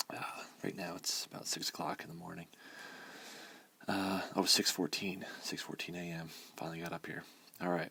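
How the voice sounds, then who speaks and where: A man whispers at a moderate pace. He leaves long, frequent pauses. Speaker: math teacher. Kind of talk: tutorial. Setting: at home early morning. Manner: whispering.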